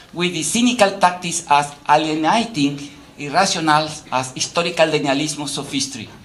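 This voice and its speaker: A man at a moderate pace, with audible room echo. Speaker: academic lecturer. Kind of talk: lecture. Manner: halting, frequent fillers; animated.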